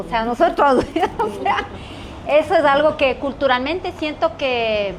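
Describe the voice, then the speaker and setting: A woman talks at a moderate pace with lively intonation. Background noise is noticeable. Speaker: talk show host, lawyer. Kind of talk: panel discussion.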